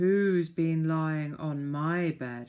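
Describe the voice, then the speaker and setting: Putting on a character voice, a man pitches it fairly high. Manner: gruff, suspicious.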